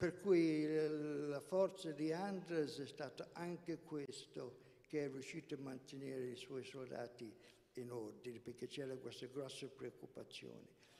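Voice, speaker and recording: Fairly slow speech from a man with a fairly high pitch, a dark, mellow tone and ordinary pitch variation. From England, son of Italian mother and Polish father. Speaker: co-presenter, historical context speaker; guest. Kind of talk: historical presentation and personal testimony; talk explaining history to an audience. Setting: stage with audience, live streamed. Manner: halting. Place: hall. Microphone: handheld.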